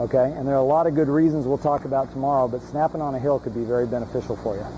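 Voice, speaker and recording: Against noticeable background noise, a fairly high-pitched man speaks at a very fast pace with ordinary pitch variation. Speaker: long snapping coach. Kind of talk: one-on-one coaching feedback. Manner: repeats words, slight stammer.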